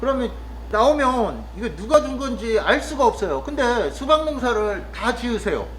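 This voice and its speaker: A man at a moderate pace, with audible room echo. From Chungcheong, Korea. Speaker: vlogger, rural cafe worker. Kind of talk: casual monologue vlog. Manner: hesitant, with frequent fillers.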